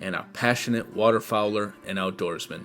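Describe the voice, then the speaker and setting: A man speaks at a moderate pace while music is heard in the background. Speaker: podcast host. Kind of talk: podcast intro narration.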